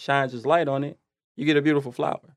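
A man speaks in a plain, everyday voice at a fairly high pitch with fairly even intonation. The recording is very clean with a silent background and a dry, close sound with no echo. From Detroit, Michigan, US. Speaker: music and media entrepreneur. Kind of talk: casual chat.

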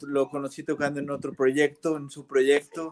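With noticeable noise behind him, a man speaks at an even, moderate speed. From Irapuato, central Mexico. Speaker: bassist. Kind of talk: casual interview.

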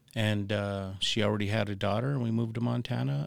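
Lively intonation marks this man's American accent. He has an ordinary speaking voice with a fairly low pitch. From Arizona, US Southwest (Tucson). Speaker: tattoo artist and illustrator. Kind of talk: casual interview storytelling.

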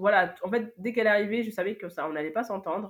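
A woman with a normal speaking voice talks at a fairly quick pace with ordinary pitch variation. The recording is very clean and the background silent. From France, Paris. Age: 20s. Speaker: event agency founder. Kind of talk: interview testimony.

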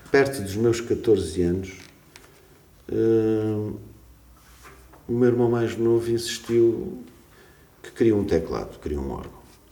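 Speech comes at a very slow pace with long, frequent pauses, ordinary pitch variation and big swings in loudness. The room echo is audible, and there is noticeable background noise. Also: man, medium pitch for a man. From Portugal, Algarve (Portimão). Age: 50s. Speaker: music teacher and composer. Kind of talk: casual interview. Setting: school.

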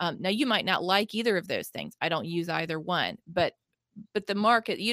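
Recorded very cleanly against a silent background, the sound is dry and close with no echo. A woman talks at a fairly quick pace with ordinary pitch variation. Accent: Southern US. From US South, Mississippi. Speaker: nonprofit founder and author. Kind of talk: interview conversation.

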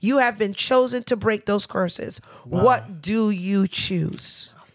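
A woman speaks at a very slow pace with a New York accent. Her pitch is medium, with ordinary pitch variation. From New York, Nigerian parents. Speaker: church elder. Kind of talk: casual chat.

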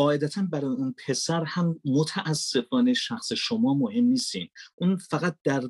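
The speaker goes at a very slow pace with lively intonation and hardly any pauses. The sound is dry and close, with no echo. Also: man. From Iran, Mashhad. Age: 40s. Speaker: voice-over artist and filmmaker. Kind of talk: podcast interview. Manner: formal.

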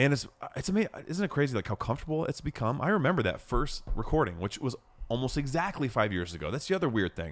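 Talking at a very fast clip with vocal fry, a man keeps a medium pitch while his voice swings very widely up and down. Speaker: podcast co-host. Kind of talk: casual chat.

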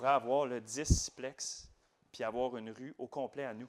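Here a man speaks at a medium pitch with ordinary pitch variation. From Quebec, Laval. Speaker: real estate investor. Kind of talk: interview.

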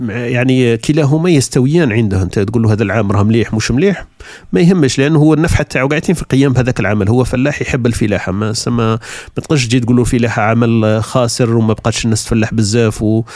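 A man with a medium pitch and an Algerian accent talks at a very fast pace with hardly any pauses. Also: ordinary pitch variation. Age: 40s. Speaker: podcaster. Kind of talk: solo podcast monologue. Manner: casual conversational.

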